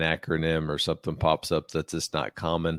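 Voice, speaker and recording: With an American accent, a man talks fairly quickly in a very deep, low voice. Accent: slight twang. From West Virginia. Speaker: podcast host, army officer. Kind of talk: interview conversation.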